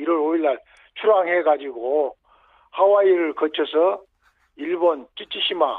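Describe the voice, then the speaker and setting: Very slowly, a man speaks with a high pitch. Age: 70s. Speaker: yacht explorer. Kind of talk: radio interview. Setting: phone call.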